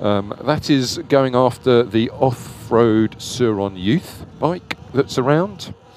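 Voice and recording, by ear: A man talks at a slow pace with a medium pitch. His intonation is lively and his tone slightly mellow.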